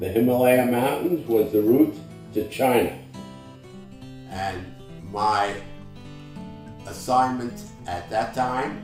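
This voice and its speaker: A man at a very slow pace, medium-pitched with ordinary pitch variation, long and frequent pauses, and music in the background. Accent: American. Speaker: war veteran. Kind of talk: interview answer. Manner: hesitant, with fillers.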